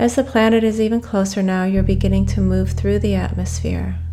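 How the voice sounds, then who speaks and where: Over noticeable background noise, a woman speaks in a calm, warm tone. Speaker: hypnotherapist and podcast host. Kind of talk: guided meditation. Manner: calm and warm, hypnotic.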